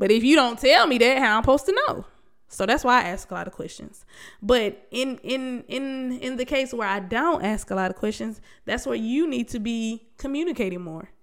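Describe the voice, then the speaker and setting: Animated in tone, the speech moves at a moderate pace with lively intonation and big swings in loudness. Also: woman, high pitch for a woman. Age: 30s. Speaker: podcast host. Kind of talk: casual monologue.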